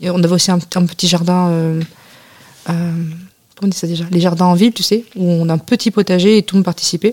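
A woman with a fairly low pitch speaks at a very fast pace in a flat monotone, broken by long, frequent pauses, with a dry, close sound and no echo. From France. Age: 20s. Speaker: returning European volunteer. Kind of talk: radio interview.

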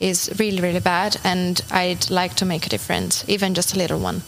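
Noticeable background noise runs behind this woman. She speaks at a medium pitch and a moderate pace. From Italy, Turin. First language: Italian (speaking French). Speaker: international volunteer. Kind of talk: interview.

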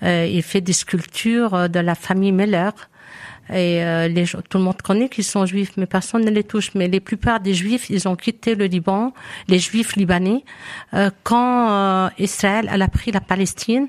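In an ordinary speaking voice, a woman talks at a fairly slow pace and medium pitch, her loudness very even and the sound dry and close with no echo. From Lebanon. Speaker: community association member. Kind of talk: live radio chat.

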